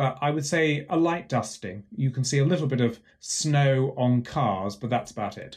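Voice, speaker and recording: With hardly any pauses, a man speaks at a medium pitch with ordinary pitch variation, sounding somewhat breathy. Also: moderate pace. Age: 50s. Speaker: professor. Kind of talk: interview. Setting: home office.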